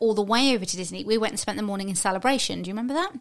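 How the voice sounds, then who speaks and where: A woman speaks with an English accent at a fairly high pitch. The recording is very clean, with a silent background. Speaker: podcast co-host. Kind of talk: casual chat.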